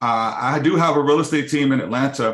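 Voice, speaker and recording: Against a quiet background, a man speaks fairly quickly with an American accent. He has an unremarkable speaking voice and ordinary pitch variation. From Los Angeles, California. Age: 50s. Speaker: mortgage company CEO. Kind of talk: business webinar presentation.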